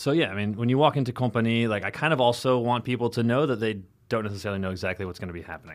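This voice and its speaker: A man with an American accent talks at a very fast pace, his pitch medium and its variation ordinary. The recording is very clean, with a silent background. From US Midwest, rural Illinois. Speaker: sommelier and wine bar owner. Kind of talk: casual chat.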